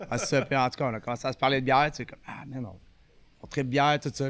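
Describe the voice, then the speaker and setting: A man's medium-pitched voice, very fast, with fairly even intonation. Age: 30s. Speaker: brewery events employee. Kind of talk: casual chat. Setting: recorded at a brewery.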